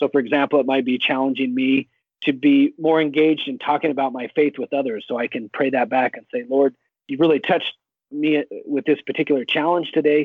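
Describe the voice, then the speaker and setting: A man's fairly high, ordinary speaking voice with an American accent, fairly even intonation and a fairly quick pace. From Idaho, US. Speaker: evangelist and Bible scholar. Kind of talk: interview testimony. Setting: phone call.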